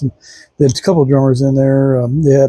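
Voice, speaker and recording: A man speaks at a fairly high pitch, somewhat breathy. His tone is dark and mellow, and the sound is dry and close with no echo. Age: 60s. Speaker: vlogger reviewing a concert. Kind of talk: casual monologue review. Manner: halting, many fillers.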